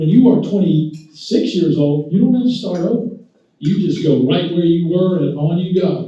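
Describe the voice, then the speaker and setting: The recording carries audible room echo. Pitch variation is ordinary. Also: man, high pitch for a man, moderate pace. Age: 70s. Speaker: physician speaker. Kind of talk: talk to a luncheon audience. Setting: luncheon audience. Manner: conversational, with many fillers.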